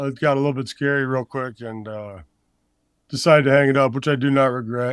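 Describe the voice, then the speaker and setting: A normal speaking voice comes through with an American accent. The pace is fairly quick and the intonation fairly even. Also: man. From Iowa, US Midwest. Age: 30s. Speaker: former college football player, strength coach. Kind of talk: casual podcast interview.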